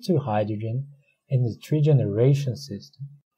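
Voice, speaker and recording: Somewhat breathy and dark, mellow in tone, a man talks with a Portuguese accent. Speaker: academic researcher. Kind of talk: conference presentation. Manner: formal.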